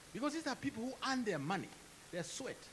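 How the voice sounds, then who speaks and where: The voice swings very widely in pitch. Noticeable background noise sits behind it. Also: man. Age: 70s. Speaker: professor. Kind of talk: audience question at panel.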